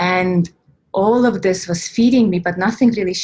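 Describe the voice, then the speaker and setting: Somewhat breathy, the voice has an Estonian accent and ordinary pitch variation. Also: woman. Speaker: spiritual coach and workshop leader. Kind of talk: online workshop talk. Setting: online workshop recording.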